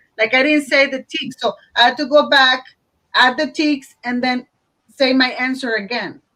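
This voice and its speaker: In a Spanish accent, a woman projects her high, bright, sharp voice at a moderate pace with monotone, flat intonation. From Mexico (Matamoros). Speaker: teacher. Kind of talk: online panel discussion.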